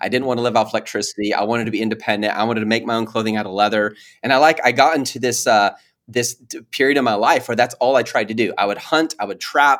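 A very fast, medium-pitched male voice with an American accent and fairly even intonation. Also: very clean recording, silent background. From Texas then California. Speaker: Amazon seller. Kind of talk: casual interview.

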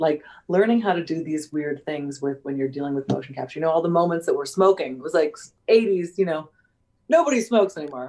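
A woman speaks at a fairly quick pace in a fairly low pitch, with a dark, mellow tone. Her loudness swings widely while her pitch varies an ordinary amount. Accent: American. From US. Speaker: actress. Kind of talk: casual interview. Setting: video call.

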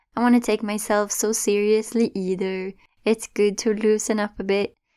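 A dark, mellow tone at a fairly slow pace, with a slight Swedish accent and a very clean recording on a silent background. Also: woman. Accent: light Swedish-accented English. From Sweden. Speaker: podcast host and meditation guide. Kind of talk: casual solo podcast monologue.

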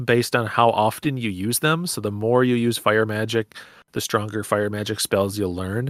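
Here a man talks at medium pitch and a moderate pace in an unremarkable speaking voice. The recording is very clean, with a silent background. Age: 30s. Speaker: podcaster and game collector. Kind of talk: casual chat.

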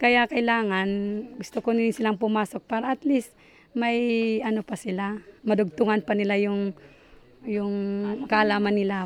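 A woman with fairly even intonation in a dry, close sound with no echo. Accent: Batanes. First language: Ivatan (speaking Tagalog). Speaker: parent. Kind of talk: interview. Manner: halting.

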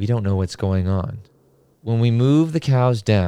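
In a natural voice, a passage is read aloud.

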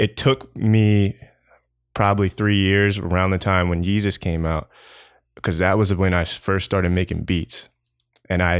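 A man speaks at a moderate pace with a very deep, low pitch and a monotone, flat intonation. The recording is very clean, with a silent background. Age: 20s. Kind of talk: casual interview chat. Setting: apartment, in person. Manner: monotone, laid back.

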